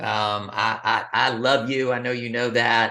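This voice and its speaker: Against a quiet background, a man with a Texan accent speaks in a bright, sharp tone at a moderate pace. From West Texas, Abilene. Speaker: business coach. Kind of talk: interview. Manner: halting.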